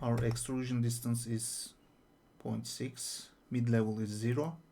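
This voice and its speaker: A man with a non-native accent and a dark, mellow tone speaks at a very slow pace with fairly even intonation. Audible room echo surrounds his voice. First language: not English. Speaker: 3D artist. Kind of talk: tutorial. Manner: hesitant, with fillers.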